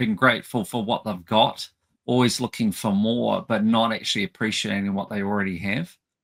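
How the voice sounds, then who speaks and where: A man with an Australian accent, in a dry, close sound with no echo. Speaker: podcast host. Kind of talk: interview.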